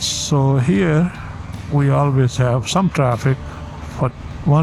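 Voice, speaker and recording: A man talks at a very slow pace in a relaxed tone, medium in pitch with ordinary pitch variation. Noticeable background noise sits behind him. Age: 60s. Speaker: vlogger, accountant. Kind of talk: casual vlog monologue. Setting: riding a motorcycle on the highway. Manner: relaxed, with frequent fillers.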